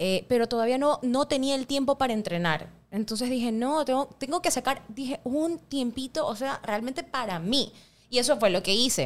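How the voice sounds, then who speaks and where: The intonation is lively and the pace moderate. It is a very clean recording with a silent background. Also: woman, high pitch for a woman. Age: 30s. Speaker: CrossFit gym co-owner. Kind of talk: casual interview.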